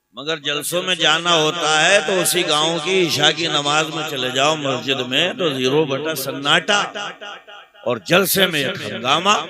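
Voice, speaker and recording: Through noticeable background noise, a man speaks with hardly any pauses in a fairly high voice with ordinary pitch variation. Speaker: Islamic preacher giving a sermon. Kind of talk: Islamic sermon (taqreer) delivered to a live audience. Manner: humorous, emotional, preaching.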